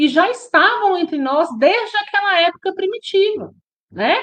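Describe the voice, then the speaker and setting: In a Minas Gerais accent, a woman speaks at a fairly slow pace. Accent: Minas Gerais Brazilian Portuguese. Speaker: spiritist study group leader. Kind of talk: religious study lecture. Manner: conversational, with frequent tag questions.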